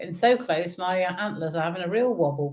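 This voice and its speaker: In an English accent, a woman speaks at a medium pitch with lively intonation. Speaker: bingo caller for charity fundraiser. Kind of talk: bingo calling on a live stream. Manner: cheerful, chatty; slow, deliberate number calling.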